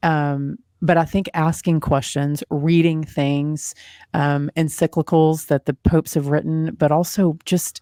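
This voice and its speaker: A woman with a Texan accent speaks at a very deep, low pitch in a dark, mellow tone, monotone and flat at a fairly slow pace. The recording is very clean with a silent background and a dry, close sound with no echo. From Texas. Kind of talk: interview conversation.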